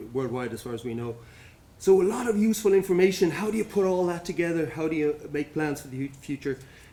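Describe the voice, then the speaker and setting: Here a man talks very fast with an Irish accent. His voice is fairly high and his intonation lively. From Ireland, Dublin. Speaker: addiction medicine physician. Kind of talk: conference talk. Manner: hesitant, repeats words.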